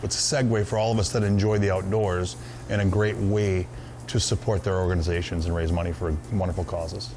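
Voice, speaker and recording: A man speaks at a fairly quick pace in a very deep, low pitch with lively intonation and very even loudness. Music plays in the background, and room echo is audible. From Minnesota. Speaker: hunting club owner. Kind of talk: interview. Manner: casual, with frequent fillers.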